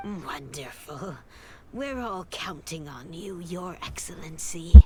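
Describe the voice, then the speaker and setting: A woman whispers in a put-on character voice at a fairly slow pace. Loud background noise runs underneath. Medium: video game. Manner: earnest, urgent.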